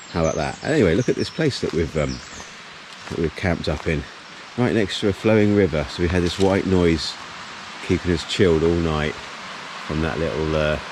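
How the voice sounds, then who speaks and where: A man's very deep, low voice at a moderate pace, with ordinary pitch variation and noticeable background noise. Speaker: hiking vlogger. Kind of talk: casual vlog narration. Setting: outdoors. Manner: loud.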